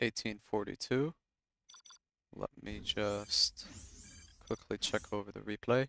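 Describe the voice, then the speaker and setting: A soft-spoken man at a very slow pace, with long, frequent pauses, big swings in loudness and a dry, close sound with no echo. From Egypt, Cairo. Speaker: gaming streamer and caster. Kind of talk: live game commentary and casual stream chat. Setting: live stream.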